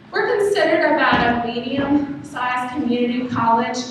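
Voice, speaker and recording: A woman with an American accent speaks at a moderate pace and a high pitch, with noticeable background noise and audible room echo. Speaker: college learning center director. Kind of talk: conference presentation.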